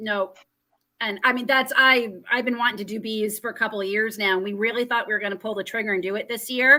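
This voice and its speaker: A woman's fairly high, bright, sharp voice with an American accent, very fast pace and fairly even intonation, on a very clean recording with a silent background. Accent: Canadian with a slight American twang. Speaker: homesteading channel host. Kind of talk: casual chat interview. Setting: live stream broadcast.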